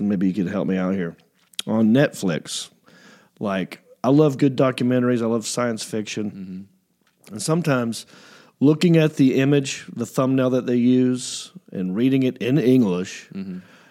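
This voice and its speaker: In a normal speaking voice, a man talks at a moderate pace with medium pitch and lively intonation. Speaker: comedian and podcast host. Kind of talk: casual chat.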